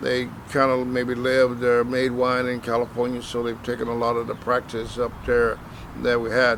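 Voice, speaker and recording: Noticeable background noise sits under this recording. A man with an American accent speaks at a medium pitch. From Texas, rural area south of Dallas. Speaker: winemaker. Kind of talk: interview. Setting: wine shop. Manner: hesitant, many fillers.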